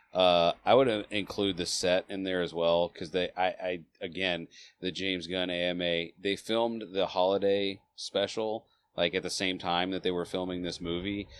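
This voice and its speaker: Flat, monotone intonation at a moderate pace comes over a quiet background. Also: man, very deep, low pitch for a man. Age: 40s. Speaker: podcast co-host filling in, movie reviewer. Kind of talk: casual chat.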